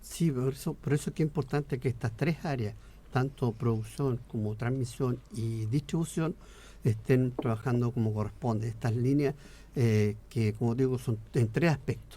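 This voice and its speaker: The man's voice sits at a medium pitch, somewhat breathy, with a dark, mellow tone. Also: ordinary pitch variation, moderate pace. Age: 60s. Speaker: politician. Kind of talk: radio interview.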